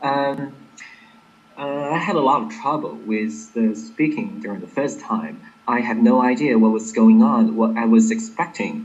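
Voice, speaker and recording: Pitch swings very widely at a fairly slow pace, with audible room echo. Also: man. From Inner Mongolia, China. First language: Chinese. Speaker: English exam candidate. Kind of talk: interview. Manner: clear, careful enunciation; hesitant, with fillers.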